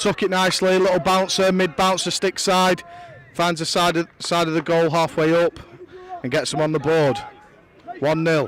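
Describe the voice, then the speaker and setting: Crowd noise fills the background. The intonation is fairly even, with long, frequent pauses. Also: man, high pitch for a man, moderate pace. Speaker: lacrosse commentator. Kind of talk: live sports commentary. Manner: monotone.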